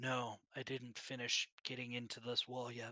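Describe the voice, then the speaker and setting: Raspy, put-on character voice from a man, medium-pitched and monotone, with dry, close sound and no echo. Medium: actual play. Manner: terse, matter-of-fact.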